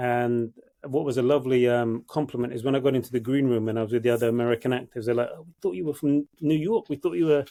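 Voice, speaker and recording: Talking at a very fast pace with hardly any pauses, a man with a London accent and a dark, mellow tone keeps a fairly even intonation despite big swings in loudness. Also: medium pitch for a man. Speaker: actor. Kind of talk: casual chat.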